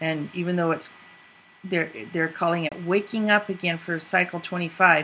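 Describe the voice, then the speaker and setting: Over noticeable background noise, a woman with a fairly low pitch speaks at a moderate pace in a monotone, flat way. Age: 60s. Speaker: video podcast host. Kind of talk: casual commentary.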